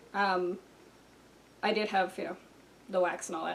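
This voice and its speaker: A woman is speaking here. She mumbles her words. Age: 30s. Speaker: video creator. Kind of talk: personal talk to camera. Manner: mumbling; casual.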